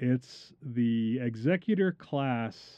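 A man talks at a very slow pace with a dark, mellow tone. His pitch sits in the medium range. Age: 40s. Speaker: podcast host. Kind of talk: casual chat.

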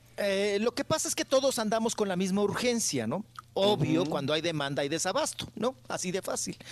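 A man at a high pitch and fairly quick pace, with very wide pitch swings. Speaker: radio co-host. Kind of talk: casual chat.

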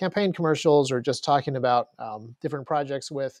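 Here is a normal speaking voice from a man, pitched fairly high. He moves at a fairly quick pace with ordinary pitch variation. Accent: American. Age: 40s. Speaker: firearms gear designer. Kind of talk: casual chat.

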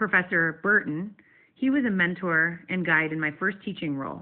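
A woman has an unremarkable speaking voice, with a fairly low pitch and ordinary pitch variation. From US Northeast, western New York. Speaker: nonprofit leader and former teacher. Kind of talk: prepared short talk, pre-recorded segment.

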